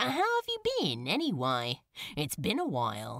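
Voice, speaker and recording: The speaker uses a put-on character voice at a low-to-middle pitch. The pace is moderate. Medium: read story. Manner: breezy, sarcastic.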